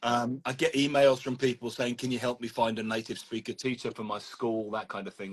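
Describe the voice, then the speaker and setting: A man with a London accent at a fairly quick pace, medium pitch and ordinary pitch variation, in a dry, close sound with no echo. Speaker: language teacher and trainer. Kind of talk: casual chat. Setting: live video stream.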